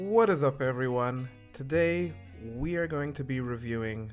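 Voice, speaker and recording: With music in the background, a man at a medium pitch speaks at a very slow pace using lively intonation. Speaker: hobbyist art learner. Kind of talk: casual talk to camera.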